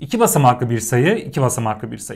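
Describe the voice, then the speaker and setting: A somewhat breathy man speaks with very wide pitch swings. The background is quiet. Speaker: teacher. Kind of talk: lecture. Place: home room. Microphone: lapel.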